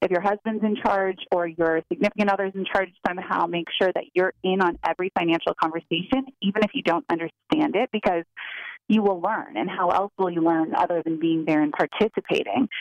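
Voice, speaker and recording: With an unremarkable speaking voice, a woman of medium pitch talks at a fairly quick pace with ordinary pitch variation. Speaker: financial advisor. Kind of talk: advice.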